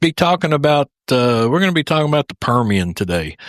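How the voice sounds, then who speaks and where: Speaking with a Texas accent, a man uses a fairly high pitch with very wide pitch swings. The recording is very clean and dry, with a silent background and no echo. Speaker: podcast host. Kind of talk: interview podcast. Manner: hesitant, many fillers.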